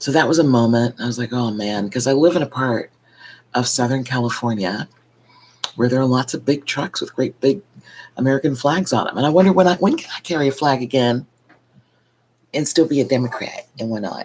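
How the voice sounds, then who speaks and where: A soft-spoken woman talks at a fairly quick pace, with a very deep, low pitch and ordinary pitch variation. She leaves long, frequent pauses. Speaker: vlogger. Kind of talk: casual monologue vlog. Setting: at home at night. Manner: soft-spoken, keeping voice low.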